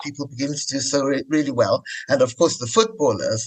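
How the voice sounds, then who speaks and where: This is a normal speaking voice, belonging to a man. He talks fairly quickly, and his pitch rises and falls in an ordinary way. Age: 60s. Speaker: podcast host. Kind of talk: interview.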